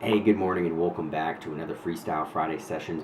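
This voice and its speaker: Very deep, low male voice in an American accent, monotone and flat, at a very fast pace, with audible room echo and noticeable background noise. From New Hampshire, US New England. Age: 30s. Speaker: vlogger. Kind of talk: personal storytelling monologue. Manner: casual with many fillers.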